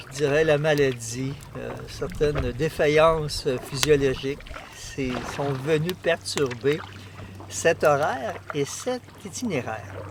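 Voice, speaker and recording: Noticeable background noise runs under a man speaking at a very slow pace. His fairly high pitch shows ordinary variation. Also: big swings in loudness. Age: 60s. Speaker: canoe traveller. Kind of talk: casual chat. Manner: halting.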